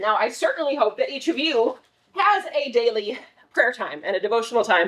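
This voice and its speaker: Her pitch high and swinging very widely, a woman talks at a fairly quick pace. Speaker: children's ministry director. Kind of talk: volunteer training briefing. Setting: church. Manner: fast.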